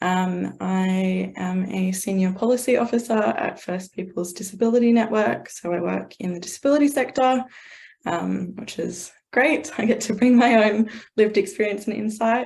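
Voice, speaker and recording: The voice is somewhat breathy, with an Australian accent, ordinary pitch variation and a moderate pace. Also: woman, medium pitch for a woman. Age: 20s. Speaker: young carer, policy officer. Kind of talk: panel discussion.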